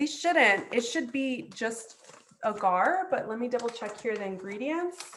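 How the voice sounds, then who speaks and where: Intonation here is lively. It is a normal speaking voice. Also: woman, fairly high pitch for a woman, fairly slow pace. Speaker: chef and cooking teacher. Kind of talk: online cooking class. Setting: video call.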